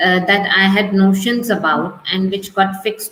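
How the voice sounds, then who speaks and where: At a fairly slow pace, a woman with a medium pitch talks over noticeable background noise. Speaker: business advisor. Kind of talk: video call interview. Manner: soft-spoken.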